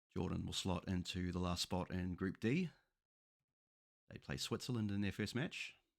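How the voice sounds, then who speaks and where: In a New Zealand accent, a man with a very deep, low pitch speaks at a moderate pace with long, frequent pauses. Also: ordinary pitch variation. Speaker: football YouTuber. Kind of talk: tutorial. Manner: casual.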